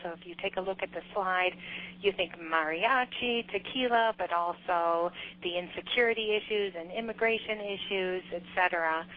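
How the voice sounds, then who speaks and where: Her loudness swings widely as a woman talks at a moderate pace and medium pitch with ordinary pitch variation. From US Midwest, Chicago. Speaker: government trade official. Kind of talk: business presentation. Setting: teleconference. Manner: halting, many fillers.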